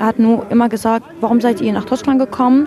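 Against crowd noise in the background, a woman talks at a moderate pace with a fairly high pitch and ordinary pitch variation. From Syria. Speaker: young refugee interviewee. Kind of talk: interview. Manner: halting.

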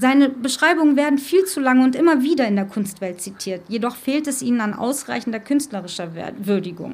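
A woman speaks at a fairly quick pace and a high pitch, her intonation lively, with audible room echo around her. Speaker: cultural coordinator and radio presenter. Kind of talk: live talk before an audience. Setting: stage with audience. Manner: emotional, voice drops.

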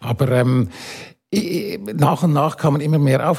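A man speaks at a moderate pace in a fairly high pitch for a man, with a dark, mellow tone, a somewhat breathy quality and ordinary pitch variation. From Switzerland. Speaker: architect and urban planner. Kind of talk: panel discussion.

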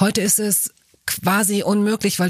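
A woman talks at a moderate pace in a dry, close recording with no echo, very clean and with a silent background. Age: 50s. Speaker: podcast host, journalist. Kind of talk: interview. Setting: studio.

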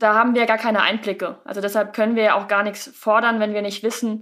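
A woman talks at a fairly quick pace in a fairly high pitch with a bright, sharp tone. Her intonation is flat and monotone. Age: 20s. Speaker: professional footballer. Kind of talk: casual interview. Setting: video call.

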